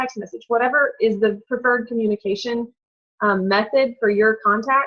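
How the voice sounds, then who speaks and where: A woman is talking. She speaks at a fairly high pitch. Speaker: direct sales distributor. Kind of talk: training call presentation. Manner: fast.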